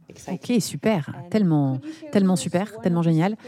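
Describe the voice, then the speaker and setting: A woman speaks at a moderate pace in a fairly low voice with a dark, mellow tone. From eastern France, Besançon. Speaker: podcast host and brand founder. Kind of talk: interview.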